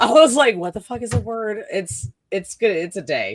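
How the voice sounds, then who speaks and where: Vocal fry marks a woman's voice, which makes very wide pitch swings at a moderate pace. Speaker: podcast co-host. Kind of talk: casual chat. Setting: live stream. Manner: halting.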